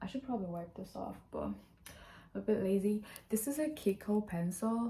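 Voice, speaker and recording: A woman's somewhat breathy voice, dark and mellow in tone, at a fairly slow pace. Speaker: vlogger. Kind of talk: casual vlog. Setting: at home.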